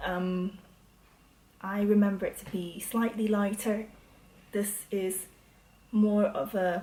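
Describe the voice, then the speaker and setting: A woman with a dark, mellow, somewhat breathy tone speaks very slowly in a flat monotone, with long, frequent pauses. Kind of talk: product review to camera. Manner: hesitant, with pauses.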